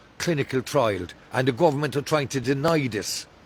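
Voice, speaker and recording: A man with an Irish accent and ordinary pitch variation. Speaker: hunger striker, abuse survivor. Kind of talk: street interview testimony. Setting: outdoors.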